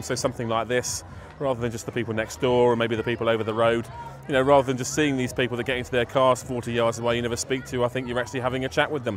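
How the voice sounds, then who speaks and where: Very fast and with a southern English accent, a man of medium pitch talks with fairly even intonation over noticeable background noise. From southern England. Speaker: street party organiser, DJ. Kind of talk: interview.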